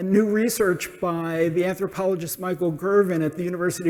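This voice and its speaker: A man with an American accent speaks at a fairly quick pace in a high, monotone, flat voice. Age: 60s. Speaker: social entrepreneur. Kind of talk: conference talk.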